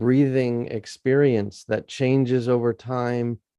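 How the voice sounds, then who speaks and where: A man's voice, dark and mellow at medium pitch, moves at a very slow pace. The sound is dry and close with no echo. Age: 70s. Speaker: senior spiritual teacher, early disciple. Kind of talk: interview.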